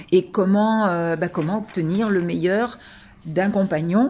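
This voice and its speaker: A woman speaks at a medium pitch with fairly even intonation on a very clean recording with a silent background. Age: 60s. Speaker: coaching client giving a testimonial. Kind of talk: testimony. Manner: hesitant, many fillers.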